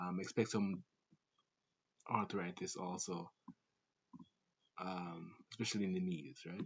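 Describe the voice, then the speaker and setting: A man with a Jamaican accent speaks at a very deep, low pitch and a fairly slow pace. His intonation stays fairly even, broken by long, frequent pauses. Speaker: call center sales agent. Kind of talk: casual talk to camera.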